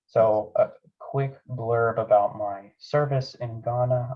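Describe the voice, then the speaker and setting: A man speaks in a flat monotone, his voice somewhat breathy. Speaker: aerospace engineer giving a club talk. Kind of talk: presentation. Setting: club meeting.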